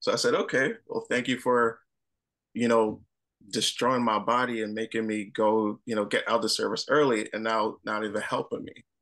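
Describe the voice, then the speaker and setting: A man speaks at a moderate pace. The background stays quiet. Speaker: Air Force veteran and peer support program director. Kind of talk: panel discussion. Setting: video call. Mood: earnest, reflective about hardship. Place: home room. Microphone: webcam.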